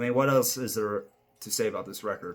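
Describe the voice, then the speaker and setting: A man mumbles at a moderate pace. His intonation stays fairly even. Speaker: amateur video reviewer. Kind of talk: casual monologue album ranking. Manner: mumbling; halting, many fillers.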